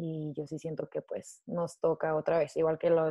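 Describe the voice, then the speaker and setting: A woman talks at a very deep, low pitch with monotone, flat intonation. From northern Mexico, Ciudad Juárez. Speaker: theology student. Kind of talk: casual chat.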